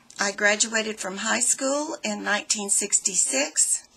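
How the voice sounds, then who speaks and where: Music plays in the background while a woman speaks at a medium pitch. She goes at a very slow pace with lively intonation. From Florida. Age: 60s. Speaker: student. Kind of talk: personal self-introduction. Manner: hesitant, with fillers.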